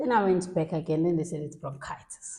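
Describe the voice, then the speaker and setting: A woman talks at a fairly quick pace in a fairly low pitch. Her tone is dark and mellow, with fairly even intonation. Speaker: patient sharing illness story. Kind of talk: interview testimony. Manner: loud.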